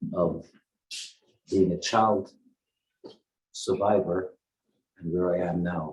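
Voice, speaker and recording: A man's very deep, low voice, somewhat breathy, at a fairly slow pace. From Netherlands, The Hague area. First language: Dutch. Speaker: Holocaust survivor speaker. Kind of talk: testimony. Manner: halting.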